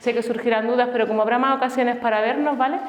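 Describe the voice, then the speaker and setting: With an Andalusian accent, a woman speaks at a fairly high pitch amid noticeable background noise and audible room echo. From Andalusia, Granada. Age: 40s. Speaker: family doctor and health speaker. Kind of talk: conference talk. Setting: stage with live audience.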